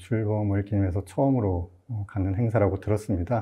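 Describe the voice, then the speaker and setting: A man's fairly low voice comes across somewhat breathy, with fairly even intonation. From Gimcheon, Gyeongbuk, South Korea. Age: 50s. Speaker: novelist. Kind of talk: formal greeting in literary talk. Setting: studio. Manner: formal.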